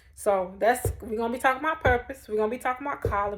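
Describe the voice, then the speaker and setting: Her tone animated, a woman speaks at a fairly high pitch with ordinary pitch variation. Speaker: vlogger and mime dance ministry leader. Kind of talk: casual motivational vlog talk to viewers. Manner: fast; animated, chatty.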